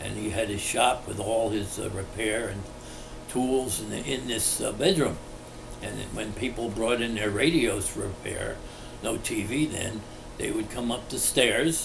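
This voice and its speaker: A man with an American accent speaks at a fairly slow pace with ordinary pitch variation, amid audible room echo and noticeable background noise. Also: medium pitch for a man. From New Jersey, Englishtown. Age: 80s+. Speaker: local resident interviewee. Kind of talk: oral history interview. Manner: halting with frequent fillers.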